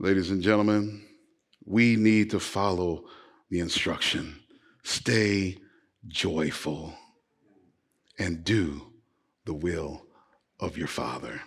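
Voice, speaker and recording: A man with a very deep, low pitch and a warm tone talks at a very slow pace. Long, frequent pauses break up his speech amid audible room echo. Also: ordinary pitch variation. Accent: American. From US West Coast (Los Angeles). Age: 50s. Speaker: pastor. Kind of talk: Sunday sermon, exhortation with call-and-response prompts to the congregation. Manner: warm, emphatic, builds intensity and pauses for congregational response.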